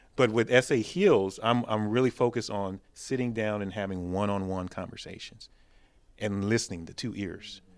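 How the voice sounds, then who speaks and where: On a very clean recording with a silent background, a man with an American accent and an unremarkable speaking voice talks at a moderate pace, fairly low in pitch, with fairly even intonation. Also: big swings in loudness. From South Texas. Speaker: police officer. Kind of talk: round table discussion. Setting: church building.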